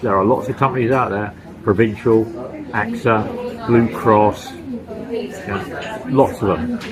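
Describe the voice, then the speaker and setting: Speaking at a fairly slow pace, a man is heard with audible room echo and noticeable background noise. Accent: British. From UK. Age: 60s. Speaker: vlogger, retired expat. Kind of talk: casual vlog monologue. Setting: eating lunch while filming. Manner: casual, conversational.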